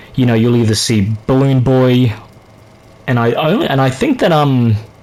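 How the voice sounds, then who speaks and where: A man speaks at medium pitch and a moderate pace. Noticeable background noise runs beneath him. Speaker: gaming youtuber. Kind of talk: casual commentary monologue. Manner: stuttering, halting; casual, filler-heavy.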